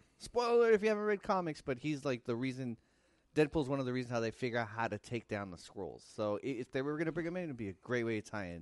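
A man speaks in an American accent, his voice at a medium pitch. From United States, Mexican American. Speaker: podcast co-host. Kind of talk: casual chat.

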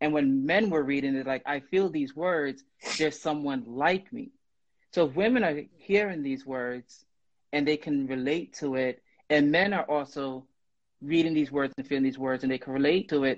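An unremarkable speaking voice from a man with an American accent, fairly high in pitch, with ordinary pitch variation at a moderate pace. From Brooklyn, New York. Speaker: guest writer and poet. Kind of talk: casual chat. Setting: Instagram live video.

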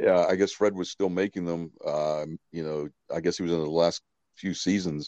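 A man speaks at a moderate pace in a very deep, dark, mellow voice with monotone, flat intonation. The sound is dry and close, with no echo. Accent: Pittsburgh. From Pittsburgh, Western Pennsylvania. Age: 50s. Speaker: horror magician. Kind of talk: casual chat.

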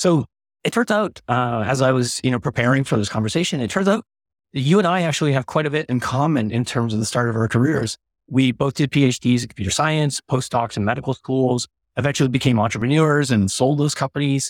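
A man's plain, everyday voice at medium pitch, fairly quick, with ordinary pitch variation, very even loudness, and a dry, close sound with no echo. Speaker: podcast host. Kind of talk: casual interview questions.

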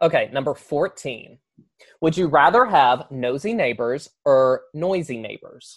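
The speaker talks at a fairly slow pace in a Southern US accent. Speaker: podcast host. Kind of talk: casual interview chat.

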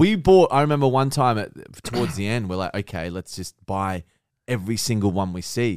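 With an Australian accent, a man speaks at a fairly quick pace and medium pitch, with lively intonation and a dry, close sound with no echo. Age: 30s. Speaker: content creator. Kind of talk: casual chat.

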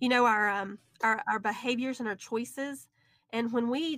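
A woman with a Southern US accent speaks at a fairly high pitch and a moderate pace. Her intonation is fairly even, and the sound is dry and close with no echo. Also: very clean recording, silent background. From US South, Alabama. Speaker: author and speaker. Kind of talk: interview.

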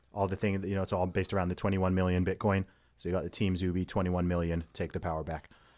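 This man speaks in a very deep, low voice with an American accent. His intonation is monotone and flat, and his pace is very fast. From Saudi Arabia and UK. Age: 30s. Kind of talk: casual interview chat.

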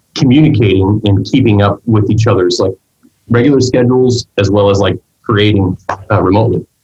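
A man talks at a fairly quick pace with fairly even intonation in an ordinary speaking voice. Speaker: podcast host; musician. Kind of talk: casual chat.

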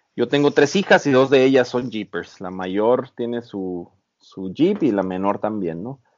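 A man speaks with ordinary pitch variation. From Mexico, Baja California. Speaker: overlanding photographer and off-road enthusiast. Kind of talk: interview. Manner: halting, many repetitions.

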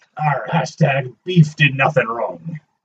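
A fairly slow, fairly high-pitched put-on character voice from a man. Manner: pirate voice.

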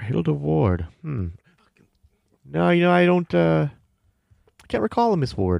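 A man puts on a character voice at a fairly high pitch, with big pitch swings and vocal fry. He talks at a fairly slow pace in a slightly mellow tone.

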